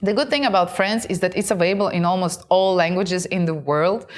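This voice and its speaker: Recorded very cleanly against a silent background, a woman with a Russian accent talks at a medium pitch. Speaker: content creator and show host. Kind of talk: casual talk to camera.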